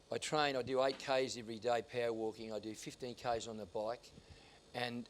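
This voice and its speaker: A man speaks in an Australian accent at a medium pitch. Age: 70s. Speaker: singer and former talent agent. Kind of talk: interview storytelling. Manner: animated.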